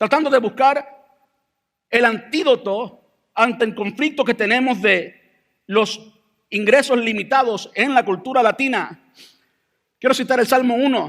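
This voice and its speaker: Extremely high-pitched, a man speaks at a fairly slow pace with ordinary pitch variation, long, frequent pauses and very even loudness. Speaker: pastor. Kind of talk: sermon. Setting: church.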